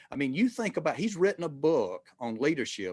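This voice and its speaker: With a dry, close sound and no echo, a man speaks at a very fast pace. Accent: Southern US. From US South, rural Georgia. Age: 60s. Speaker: retired marketing executive. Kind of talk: interview conversation. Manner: halting, many fillers and restarts.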